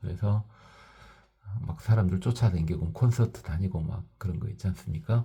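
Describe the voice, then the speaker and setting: A man speaks with a fairly low pitch and a dark, mellow tone. His voice is somewhat breathy, with ordinary pitch variation. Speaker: Buddhist teacher. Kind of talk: dharma talk. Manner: forceful.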